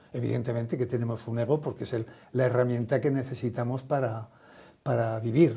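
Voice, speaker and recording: The voice has a dark, mellow tone, is somewhat breathy, and keeps a fairly even intonation. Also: man, medium pitch for a man. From Spain, Aragon. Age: 70s. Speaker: social entrepreneur, retired company founder. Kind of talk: interview conversation.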